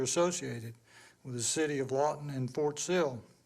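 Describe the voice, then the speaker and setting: A man with a Southern US accent, fairly quick in pace, his intonation fairly even. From US South, Georgia. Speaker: past chairman of a water board, award presenter. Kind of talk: award presentation, partly reading aloud.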